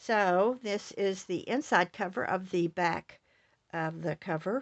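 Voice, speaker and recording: Her delivery is very slow. The woman's voice sits at a medium pitch. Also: ordinary pitch variation. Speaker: scrapbook crafter. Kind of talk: crafting tutorial walkthrough. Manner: casual with many fillers.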